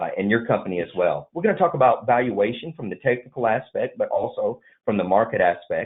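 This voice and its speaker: Someone talks at a very fast pace in a Southern US accent. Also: man. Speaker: M&A advisory firm vice president. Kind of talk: business webinar presentation.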